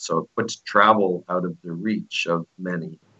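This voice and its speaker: Ordinary pitch variation runs through this voice, which has an American accent. The delivery comes at a fairly slow pace. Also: man. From eastern Pennsylvania, US. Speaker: expat businessman. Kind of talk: interview.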